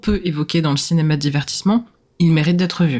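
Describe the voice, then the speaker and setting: The woman's voice sits very deep and low in pitch. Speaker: podcast co-host. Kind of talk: casual film discussion. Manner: hesitant, many repetitions. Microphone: new microphone.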